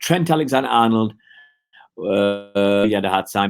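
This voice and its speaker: A man with a Manchester accent has a medium pitch and lively intonation. The recording is very clean with a silent background. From northern England, Oldham, Greater Manchester. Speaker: football fan livestreamer. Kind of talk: live-stream chat with viewers. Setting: live stream from home. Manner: hesitant, many fillers and restarts.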